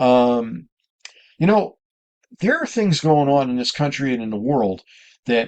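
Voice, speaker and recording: Against a quiet background, a man speaks in a plain, everyday voice with lively intonation. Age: 60s. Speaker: RV travel vlogger. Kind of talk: casual vlog talk to camera. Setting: inside his camper. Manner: conversational with frequent fillers.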